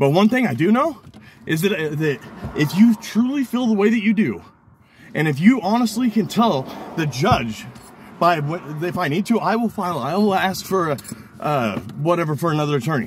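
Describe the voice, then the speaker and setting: With a high pitch and very wide pitch swings, a man talks with long, frequent pauses over noticeable background noise. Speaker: criminal defendant recording his lawyer. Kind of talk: heated meeting with attorney. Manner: animated; rapid.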